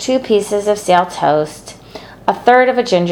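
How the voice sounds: Reading done in a natural reading voice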